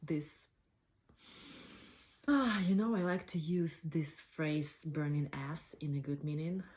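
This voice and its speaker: A woman speaks slowly-ish with fairly even intonation, her pitch very deep and low for a woman and her voice somewhat breathy. The recording is very clean, with a silent background. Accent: non-native. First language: not English. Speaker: cooking blogger. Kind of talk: casual talk to camera.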